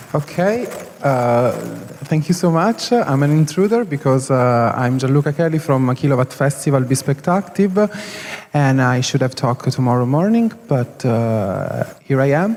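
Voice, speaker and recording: With very even loudness and lively intonation, a man talks at a moderate pace against noticeable background noise. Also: fairly high pitch for a man. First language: Italian. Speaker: festival organizer. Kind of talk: conference panel talk. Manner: halting, many hesitations.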